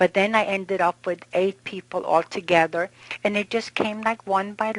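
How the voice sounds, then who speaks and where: A woman has an ordinary speaking voice and fairly even intonation. She keeps a moderate pace, and the sound is dry and close with no echo. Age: 60s. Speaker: kidney transplant recipient. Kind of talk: testimony.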